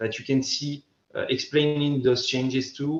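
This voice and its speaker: Music plays behind a man who speaks at a fairly high pitch with a French accent. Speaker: safety equipment company speaker. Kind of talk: conference presentation. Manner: halting, many repetitions and fillers.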